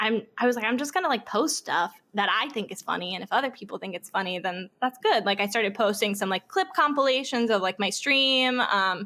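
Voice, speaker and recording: A woman with an ordinary speaking voice and a fairly high pitch talks at a fairly quick pace with lively intonation and hardly any pauses. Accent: American. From US South, Florida (Orlando). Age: 20s. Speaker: Twitch streamer and former theme park performer. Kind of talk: casual interview chat. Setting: podcast interview.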